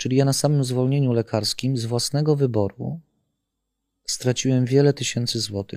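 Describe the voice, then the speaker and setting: A man speaks at a moderate pace with medium pitch and a dark, mellow tone. His intonation stays fairly even, and the recording is very clean with a silent background. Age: 50s. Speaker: whistleblower, former corporate security manager. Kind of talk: interview.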